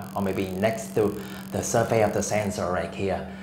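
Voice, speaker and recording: Amid audible room echo and noticeable background noise, a man talks at a moderate pace. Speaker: industrial automation tutor. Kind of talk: tutorial. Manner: halting.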